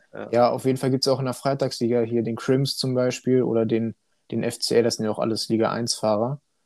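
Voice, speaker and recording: This man talks at a fairly quick pace with monotone, flat intonation. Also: medium pitch for a man. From Hannover, Germany (partly raised in China). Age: 20s. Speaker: sim racing driver. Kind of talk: casual chat.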